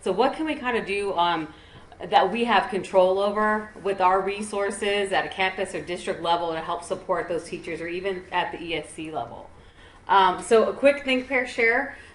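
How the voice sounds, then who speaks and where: Amid audible room echo, a woman talks at a moderate pace and medium pitch with lively intonation. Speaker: education service center trainer. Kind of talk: conference presentation.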